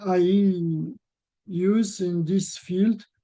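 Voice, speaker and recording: A man with a non-native accent speaks at a high pitch in a dark, mellow tone. His intonation is monotone and flat. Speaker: researcher presenter. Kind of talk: webinar presentation and Q&A. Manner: halting.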